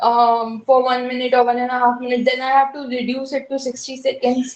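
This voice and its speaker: A woman speaks with a high pitch. Her intonation is monotone and flat. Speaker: job seeker. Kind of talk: mentoring conversation. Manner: sputters under pressure.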